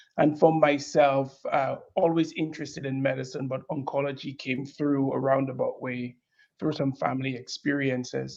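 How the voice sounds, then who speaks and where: A man speaks with a fairly high pitch and a slight Caribbean accent. His intonation stays flat and monotone. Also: moderate pace. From Dominica, Caribbean. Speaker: breast oncologist. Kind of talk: panel interview.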